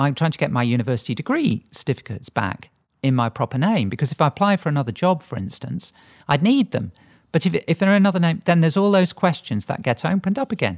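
With a dry, close sound, no echo, and a very clean recording with a silent background, the speaker talks at a very fast pace with very wide pitch swings and vocal fry. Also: woman, very deep, low pitch for a woman. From England, Lincolnshire. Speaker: priest. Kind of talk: interview.

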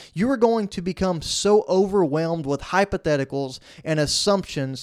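This man's high-pitched voice carries an energetic tone and lively intonation at a moderate pace. The sound is dry and close with no echo, on a very clean recording with a silent background. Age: 20s. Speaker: podcast host. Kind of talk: motivational solo podcast.

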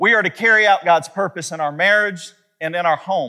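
A man speaks at a fairly quick pace in a high-pitched voice with a bright, sharp tone. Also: ordinary pitch variation.

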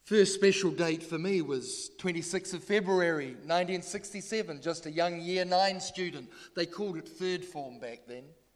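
Speaking with a New Zealand accent, a man with a high pitch talks at a fairly slow pace with hardly any pauses, ordinary pitch variation and big swings in loudness. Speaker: retired pastor. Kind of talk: sermon. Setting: church.

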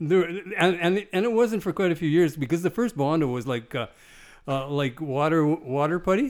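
Speaking high for a man at a moderate pace, he uses lively intonation on a very clean recording with a silent background. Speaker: car builder. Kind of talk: casual interview. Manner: halting, repeats words.

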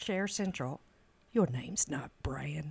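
The voice has vocal fry and moves at a fairly slow pace. Its pitch swings very widely. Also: woman. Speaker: guest interviewer. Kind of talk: casual interview.

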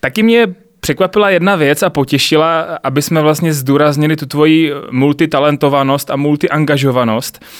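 This man has an ordinary speaking voice, pitched fairly high, with ordinary pitch variation and a moderate pace. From Czech Republic, South Moravia (Znojmo). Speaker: podcast host. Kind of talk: interview.

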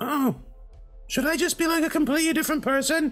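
Clear music plays behind a high, put-on character voice that races along at a very fast pace.

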